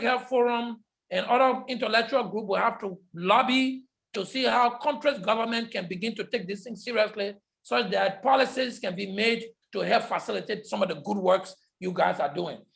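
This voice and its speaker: A man speaks loudly at an extremely high pitch. His pace is moderate and his pitch variation ordinary. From Liberia. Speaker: public health lecturer. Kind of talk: lecture Q&A.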